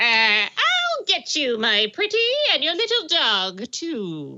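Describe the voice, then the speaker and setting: In a put-on character voice, a woman speaks at a very slow pace with a high pitch. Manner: menacing, theatrical.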